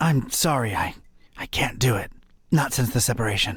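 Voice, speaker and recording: A man uses a put-on character voice with a raspy edge and a medium pitch. He talks at a moderate pace with ordinary pitch variation. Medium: video game. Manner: dry, sardonic.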